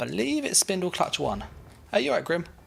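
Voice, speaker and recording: A man speaks with a British accent. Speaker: gaming streamer. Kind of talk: live gameplay stream chat. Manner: casual, many fillers.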